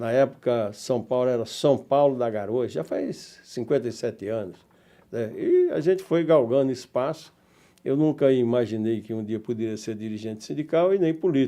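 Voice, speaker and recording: The man's pitch is medium, in a dark, mellow tone. He keeps a moderate pace. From Brazil, Northeast (Paraíba, rural). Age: 70s. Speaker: union leader and former politician. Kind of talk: interview.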